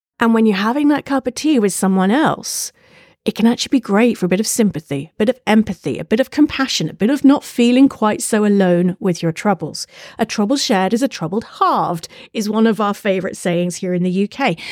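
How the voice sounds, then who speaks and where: A woman with a British accent, fairly high in pitch, fairly quick and lively in intonation, in a dry, close sound with no echo and a very clean recording with a silent background. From UK. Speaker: podcast host and imposter syndrome speaker. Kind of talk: solo podcast monologue.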